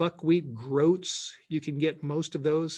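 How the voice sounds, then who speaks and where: This man speaks with fairly high pitch and fairly even intonation. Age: 60s. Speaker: pastor and sprouting course teacher. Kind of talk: Q&A session on online presentation. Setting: live online presentation. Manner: casual, halting with repetitions.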